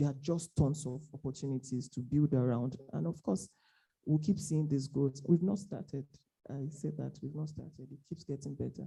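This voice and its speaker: A woman with a very deep, low pitch speaks at a moderate pace in a dark, mellow tone with vocal fry. Her loudness swings widely. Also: ordinary pitch variation. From Nigeria. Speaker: tech entrepreneur, panelist. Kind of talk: panel discussion.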